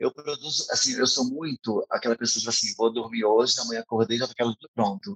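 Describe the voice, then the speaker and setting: With ordinary variation in his pitch, a man talks at a medium pitch, the sound dry and close with no echo at all. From Rio de Janeiro state, São Gonçalo. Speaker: drag queen and event producer. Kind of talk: casual interview. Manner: fast; animated.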